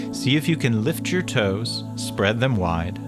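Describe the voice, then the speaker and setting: Over music in the background, a man talks in a calm tone at a fairly slow pace. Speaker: yoga instructor. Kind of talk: guided yoga instruction. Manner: slow, calm.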